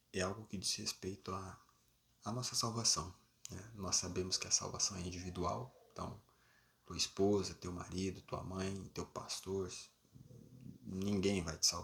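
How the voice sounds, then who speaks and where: A man is soft-spoken. He talks at a fairly slow pace. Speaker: preacher. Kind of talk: sermon.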